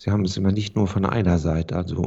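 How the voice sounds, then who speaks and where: A man talks at a moderate pace in a very deep, low pitch. His voice is somewhat breathy, with fairly even intonation. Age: 50s. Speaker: real estate agent. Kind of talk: interview. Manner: formal.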